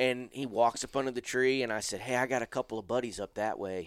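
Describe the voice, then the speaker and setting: A man with an American accent at medium pitch and moderate pace, ordinary pitch variation, in a very clean, silent-background recording with a dry, close sound and no echo. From US South, northwest Florida (Pensacola). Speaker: hunter. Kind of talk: casual chat.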